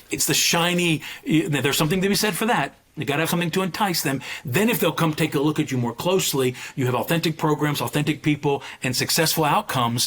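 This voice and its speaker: A man with a fairly high voice speaks very fast, his pitch moving in an ordinary way. There is noticeable background noise. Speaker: president of a college admissions association. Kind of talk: podcast interview.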